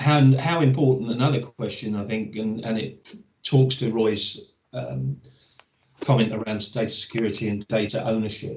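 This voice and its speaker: A man's unremarkable speaking voice at a medium pitch and moderate pace, with lively intonation. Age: 60s. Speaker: webinar moderator. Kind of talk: webinar panel discussion.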